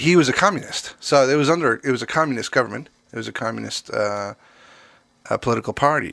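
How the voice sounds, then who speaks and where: A man with a medium pitch talks very fast in a bright, sharp tone with vocal fry and lively intonation, on a very clean recording with a silent background. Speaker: drummer and podcast co-host. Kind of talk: casual chat. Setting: podcast recording. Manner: slightly slurred speech.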